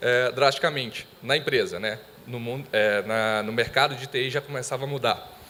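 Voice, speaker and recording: The speaker is a man. He talks with a Minas Gerais accent. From Brazil, Minas Gerais. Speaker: IT monitoring specialist. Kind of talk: conference presentation.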